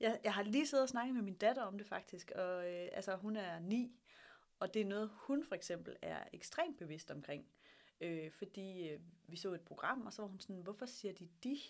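Using a normal speaking voice, a woman talks at a moderate pace in a medium pitch, with lively intonation and big swings in loudness. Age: 30s. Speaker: startup hub director. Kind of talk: interview.

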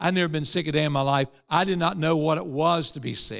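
A man with an Appalachian accent and a fairly high pitch speaks with ordinary pitch variation in a dry, close sound with no echo, on a very clean recording with a silent background. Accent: Appalachian US Southern. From West Virginia. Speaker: preacher. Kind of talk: sermon.

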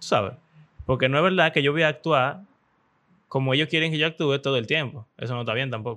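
A man with a Dominican accent speaks at a fairly quick pace in a bright, sharp tone with ordinary pitch variation, against a quiet background. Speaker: podcast host. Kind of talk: casual chat.

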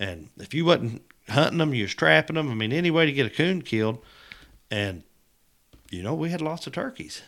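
On a very clean recording with a silent background, a man with an American accent talks fairly quickly in a fairly high pitch, his voice swinging very widely with long, frequent pauses. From Missouri. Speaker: turkey calling champion and hunter. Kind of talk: casual interview.

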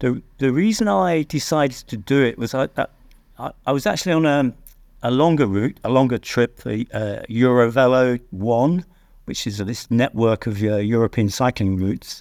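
Speaking at a moderate pace with a British accent, a man uses a medium pitch and ordinary pitch variation, recorded very cleanly against a silent background with a dry, close sound and no echo. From UK. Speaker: guidebook author and cyclist. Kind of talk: casual interview. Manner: hesitant, filler-heavy.

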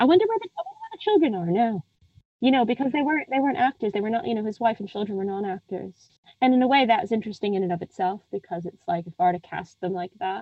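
With an American accent, a woman talks very fast at a fairly high pitch, her voice swinging very widely in pitch. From United States. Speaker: film critic. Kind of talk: casual interview chat about a film.

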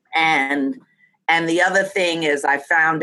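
In an American accent, a woman speaks with a bright, sharp tone and ordinary pitch variation. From New York City, the Bronx. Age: 60s. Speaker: comedian and humor educator. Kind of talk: interview conversation with humor. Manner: animated, humorous.

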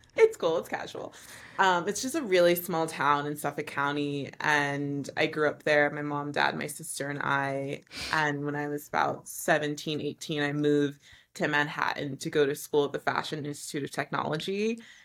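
With a New York accent, a woman speaks at a very deep, low pitch. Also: fairly even intonation, moderate pace. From US Northeast, New York City. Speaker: fashion designer. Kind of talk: casual interview.

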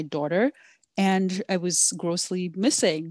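Speaking with a Nigerian accent, a woman comes through a dry, close sound with no echo. The recording is very clean, with a silent background. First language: Yoruba. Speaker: app developer and founder. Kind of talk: interview answers, conversational.

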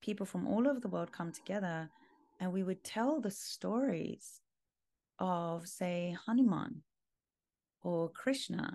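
In a London accent, a woman speaks at a very slow pace with a fairly low pitch and lively intonation. The background is quiet. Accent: British (London). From London, England. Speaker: world music and mantra artist. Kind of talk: casual interview.

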